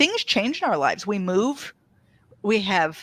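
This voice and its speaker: A woman speaks slowly, fairly so, in an ordinary speaking voice with fairly high pitch. The recording is very clean with a silent background and a dry, close sound with no echo. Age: 60s. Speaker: author. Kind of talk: casual chat.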